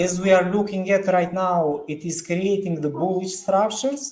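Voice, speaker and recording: Speaking at a very slow pace with a non-native accent, the man has a high-pitched voice. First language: not English. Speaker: crypto market analyst. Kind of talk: live stream discussion. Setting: online live stream. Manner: halting.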